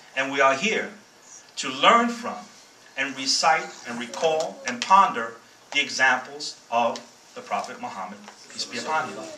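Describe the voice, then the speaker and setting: A man with a Bronx accent and a fairly high pitch speaks at a moderate pace, with very wide pitch swings, big swings in loudness, and long, frequent pauses. Noticeable background noise and audible room echo fill the recording. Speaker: guest speaker, former soldier. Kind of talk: speech.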